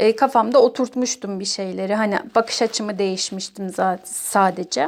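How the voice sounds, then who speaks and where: At a moderate pace, the speaker talks in a plain, everyday voice. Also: woman. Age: 30s. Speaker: person sharing own OCD recovery story. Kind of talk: testimony.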